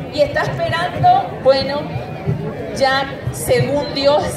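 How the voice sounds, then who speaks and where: Music runs in the background while a woman talks. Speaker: speaker. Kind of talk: public speech. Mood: emotional, grateful testimony. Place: open country. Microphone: pa.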